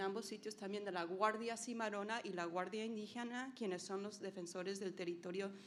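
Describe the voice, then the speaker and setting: A woman's medium-pitched voice, flat and monotone, with audible room echo. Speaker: NGO program leader. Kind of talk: conference presentation. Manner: halting, many fillers.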